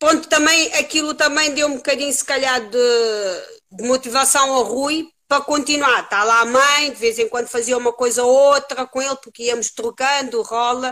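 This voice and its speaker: With a bright, sharp tone and a high pitch, a woman uses a raised, projected voice at a moderate pace and ordinary pitch variation. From Cape Verde. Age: 30s. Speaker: jiu-jitsu and beach wrestling athlete. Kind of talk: casual interview.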